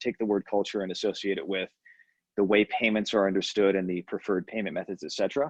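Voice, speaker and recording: Against a quiet background, a man speaks very fast in an American accent at a fairly low pitch. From US. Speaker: payments executive. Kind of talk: podcast interview. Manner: many fillers (um, uh, you know).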